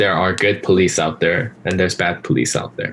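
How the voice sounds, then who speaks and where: Noticeable background noise sits under delivery that keeps a moderate pace. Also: man. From Los Angeles area, California (born in Korea). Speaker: podcast guest, former co-host. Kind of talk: casual interview chat.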